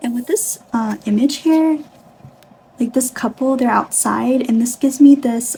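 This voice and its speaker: Over noticeable background noise, a woman speaks fairly slowly with a high pitch and ordinary pitch variation. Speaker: tarot reader. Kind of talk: tarot reading to camera.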